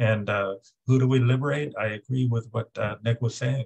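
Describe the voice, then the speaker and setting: A somewhat breathy voice comes through against a quiet background. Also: man. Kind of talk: political discussion remarks. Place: home room. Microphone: video call.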